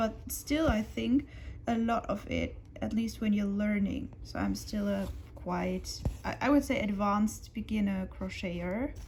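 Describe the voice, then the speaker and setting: Speaking fairly slowly, a woman talks with a non-native accent. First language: German. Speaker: crafting youtuber. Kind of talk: casual chat. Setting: at home on the sofa. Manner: quieter than usual.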